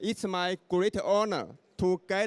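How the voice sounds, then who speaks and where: A man with a Chinese accent speaks very slowly at a high pitch, his voice dry and close with no echo on a very clean recording over a silent background. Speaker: event moderator. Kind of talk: formal event hosting. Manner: formal.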